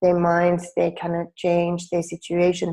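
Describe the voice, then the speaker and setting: Over a quiet background, a woman with a Finnish accent speaks fairly slowly at a fairly low pitch, her tone dark and mellow. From Finland. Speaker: life coach. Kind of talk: webinar presentation. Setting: online webinar. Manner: hesitant with fillers.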